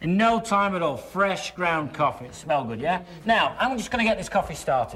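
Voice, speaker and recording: A man talks at a moderate pace in a high pitch, with very wide pitch swings. Noticeable background noise sits behind him. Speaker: infomercial host. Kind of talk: TV infomercial pitch. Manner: cheerful, upbeat.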